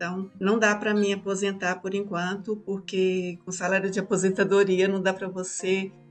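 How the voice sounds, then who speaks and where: Music plays in the background as a woman speaks. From Brazil, Minas Gerais. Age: 60s. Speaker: marathon runner and civil servant. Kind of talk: podcast interview. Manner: halting, with frequent repetitions.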